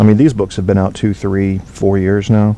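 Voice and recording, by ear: In an American accent, a man speaks at a low pitch. His tone is dark and mellow, with little pitch movement.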